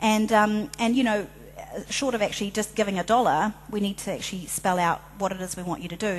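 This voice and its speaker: At a fairly quick pace, a woman speaks at a medium pitch, somewhat breathy, with fairly even intonation. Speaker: filmmaker and social change advocate. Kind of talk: conference presentation. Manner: fast; hesitant, many fillers.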